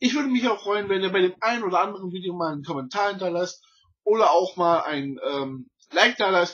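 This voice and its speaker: Against a quiet background, a man speaks at a fairly quick pace with a high pitch and lively intonation. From Berlin, Germany. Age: 30s. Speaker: YouTuber and collector. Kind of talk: channel intro, casual unscripted talk. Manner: halting, many fillers and slips. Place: home room. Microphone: webcam.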